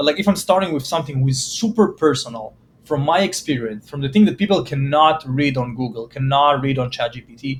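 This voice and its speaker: Speaking at a very fast pace, a man with a non-native accent has a fairly high pitch and a somewhat breathy sound. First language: not English. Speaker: startup marketing founder. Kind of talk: podcast interview. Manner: hesitant, many fillers.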